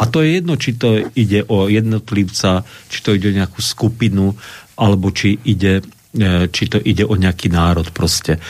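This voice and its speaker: Keeping his loudness very even, a man with an ordinary speaking voice and fairly low pitch talks at a moderate pace with ordinary pitch variation. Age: 60s. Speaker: Lutheran pastor and historian. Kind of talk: radio interview.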